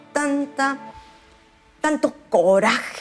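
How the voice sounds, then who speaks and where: Faint music sits in the background while a woman talks. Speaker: pastor. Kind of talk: sermon. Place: home room. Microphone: lapel.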